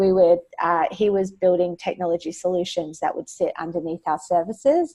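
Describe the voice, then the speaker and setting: A woman's fairly low voice with a dark, mellow tone, an Australian accent, fairly even intonation and a moderate pace. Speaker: education technology executive. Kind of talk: webinar presentation. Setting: webinar, remote. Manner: frequent filler words, hesitant.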